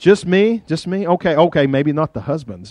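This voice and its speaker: With an Appalachian accent, a man speaks at a moderate pace in an animated tone with very wide pitch swings, and the sound is dry and close with no echo. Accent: Appalachian Southern. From US South, rural southwest Virginia. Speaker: pastor. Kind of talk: sermon. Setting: church.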